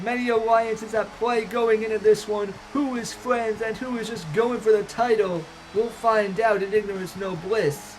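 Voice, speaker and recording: Noticeable background noise is audible behind the voice. The delivery keeps a moderate pace. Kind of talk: wrestling show commentary, event preview. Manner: hyped announcer delivery.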